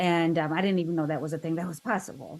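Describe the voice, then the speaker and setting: A woman speaks at a fairly low pitch. Her intonation is flat and monotone. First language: Korean. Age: 50s. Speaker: interview guest sharing life story. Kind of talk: podcast interview.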